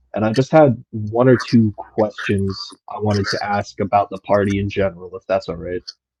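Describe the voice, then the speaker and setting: A man with an American accent speaks at a moderate pace and fairly low pitch, somewhat breathy, with ordinary pitch variation, in a dry, close recording with no echo. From United States. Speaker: caller. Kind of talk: question to host in live audio space.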